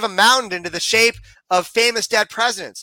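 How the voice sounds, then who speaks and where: In a raised, projected voice, a man talks at a fairly quick pace and high pitch with a bright, sharp tone, the sound dry and close with no echo. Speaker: intelligent design advocate. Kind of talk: interview.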